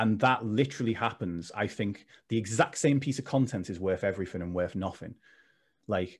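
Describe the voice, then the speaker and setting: Against a silent background in a very clean recording, a man speaks at a fairly quick pace in a plain, everyday voice, fairly low in pitch, with ordinary pitch variation. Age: 30s. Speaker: mental health coach, former personal trainer. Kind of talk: casual interview chat.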